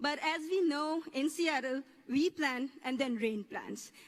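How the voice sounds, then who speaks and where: With a Pakistani accent, a woman talks at a high pitch. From Pakistan, coastal area. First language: Urdu. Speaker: graduating student speaker. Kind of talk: commencement speech. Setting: stage with audience.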